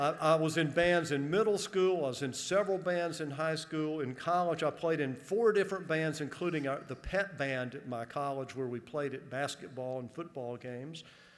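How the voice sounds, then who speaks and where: With an American accent, a man speaks at a moderate pace in an ordinary speaking voice, pitched fairly high. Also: ordinary pitch variation. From US South, northern Georgia. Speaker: college administrator. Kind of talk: convocation speech. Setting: stage with audience. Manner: humorous, conversational.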